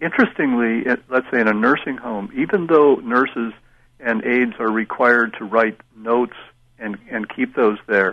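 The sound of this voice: A man speaks at a fairly slow pace and medium pitch. His pitch varies in an ordinary way.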